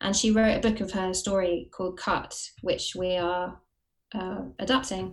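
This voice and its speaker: A woman speaks with a southern English accent. Her pace is fairly slow and her intonation fairly even. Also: medium pitch for a woman. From Watford, southern England. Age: 30s. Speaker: actress and writer. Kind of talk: casual interview chat.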